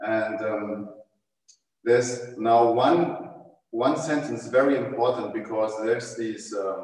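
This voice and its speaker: A man speaks at a very slow pace with a German accent and a medium pitch. His intonation is fairly even, and the room echo is audible. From Germany. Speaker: tai chi teacher. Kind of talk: panel discussion. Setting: livestream video call. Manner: halting.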